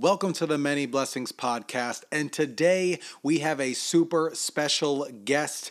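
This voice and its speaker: A man talks at a fairly slow pace in a normal speaking voice. His pitch is fairly high, with ordinary variation. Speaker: podcast host. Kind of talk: casual chat.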